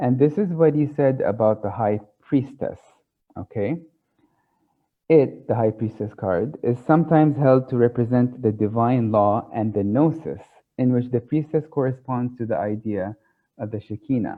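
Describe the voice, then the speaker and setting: A man talks with an Arabic accent at a moderate pace. His pitch is medium, with ordinary variation. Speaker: tarot speaker. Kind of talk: lecture. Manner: halting, many fillers.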